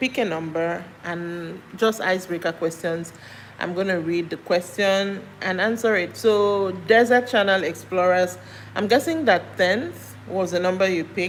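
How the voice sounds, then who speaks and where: With a Nigerian accent, the speaker moves at a fairly slow pace and uses ordinary pitch variation. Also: woman, medium pitch for a woman. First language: Nigerian language. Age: 40s. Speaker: live streamer. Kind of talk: casual chat. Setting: livestream.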